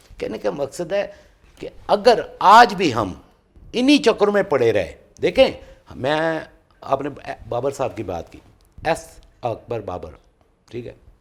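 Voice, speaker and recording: A man's voice with big swings in loudness and long, frequent pauses. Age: 60s. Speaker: political party worker. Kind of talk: TV political talk show debate. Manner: animated.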